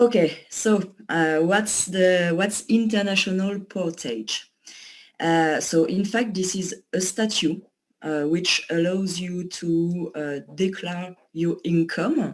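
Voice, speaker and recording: The speech moves at a very slow pace in a strong French accent. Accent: pronounced French. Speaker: company associate presenting a service. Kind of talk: online presentation. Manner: hesitant, many fillers.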